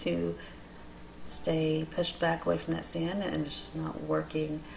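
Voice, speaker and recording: A woman's voice with audible room echo. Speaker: resin art crafter. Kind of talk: tutorial.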